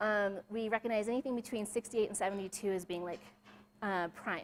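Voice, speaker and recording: A woman's fairly high voice at a very fast pace, with fairly even intonation. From Alaska. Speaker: chocolatier and presenter. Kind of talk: presentation talk. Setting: live event with audience.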